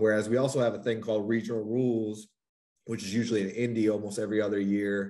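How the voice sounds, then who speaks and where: A man's voice in an American accent, fairly low and dark, mellow in tone, flat and monotone, very fast, with audible room echo. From North Carolina. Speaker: college athletics compliance officer. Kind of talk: casual interview.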